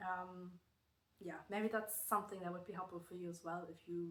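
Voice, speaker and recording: A woman with a slight German accent speaks at a fairly low pitch in a monotone, flat intonation. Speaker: knitting vlogger. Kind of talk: casual vlog talk. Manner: hesitant, many fillers.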